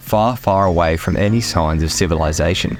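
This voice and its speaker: In an Australian accent, a man with a very deep, low pitch speaks with ordinary pitch variation over noticeable background noise. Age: 20s. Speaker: hiker, outdoor adventurer. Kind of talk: documentary-style travel narration.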